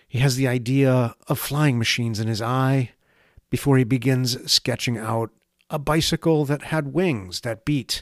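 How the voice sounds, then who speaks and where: On a very clean, dry and close recording with a silent background and no echo, a man speaks fairly slowly at medium pitch in a plain, everyday voice with ordinary pitch variation. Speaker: essayist reading own piece. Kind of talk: scripted spoken-word essay, read aloud in a wry, lyrical, contemplative tone.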